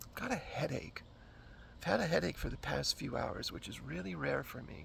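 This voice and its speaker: A soft-spoken man at a moderate pace. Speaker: vlogger. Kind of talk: casual vlog talk. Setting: outdoors in backyard. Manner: halting.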